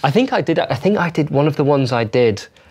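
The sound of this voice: At a fairly quick pace, a man with a fairly high pitch, lively intonation, a slightly mellow tone and a slightly husky edge speaks.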